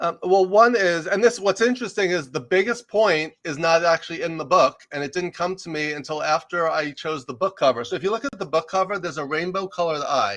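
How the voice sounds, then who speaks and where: A man with a slight New York accent speaks at a high pitch with ordinary pitch variation. He goes at a fairly quick pace with hardly any pauses. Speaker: executive coach and leadership professor. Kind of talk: interview conversation. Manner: fast.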